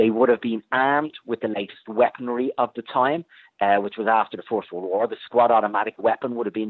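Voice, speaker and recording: Speaking with an Irish accent at a very fast pace, a man of medium pitch barely pauses at all. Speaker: military historian. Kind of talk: interview. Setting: phone call.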